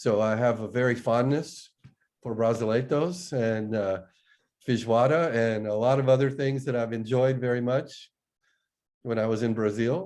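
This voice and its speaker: A man speaks in a normal speaking voice with an American accent. His pace is moderate, his pitch medium, and his pitch variation ordinary. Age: 60s. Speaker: agricultural company executive. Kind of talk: interview.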